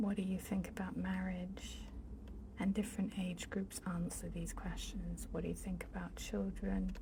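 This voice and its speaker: A woman whispers, soft-spoken. Noticeable background noise sits behind her. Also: moderate pace. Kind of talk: ASMR bookshelf tour, casual talk to camera. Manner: soft-spoken, whispery.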